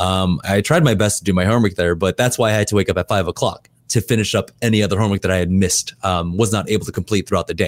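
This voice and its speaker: A man with a General American accent and a fairly low voice rushes along at a very fast pace with hardly any pauses, very even loudness and ordinary pitch variation. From US West Coast (LA, Seattle). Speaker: esports shoutcaster and host. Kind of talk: interview. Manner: casual, laughs often.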